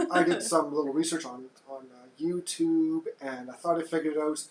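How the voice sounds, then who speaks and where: A man with a high pitch, speaking at a moderate pace. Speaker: podcast host. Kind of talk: casual chat. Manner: quiet.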